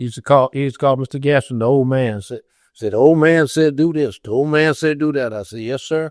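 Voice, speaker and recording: A man with an American accent talks at a very fast pace and fairly high pitch, with ordinary pitch variation. The sound is dry and close with no echo, on a very clean recording with a silent background. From Ohio. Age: 80s+. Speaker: retired construction superintendent. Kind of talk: interview answer.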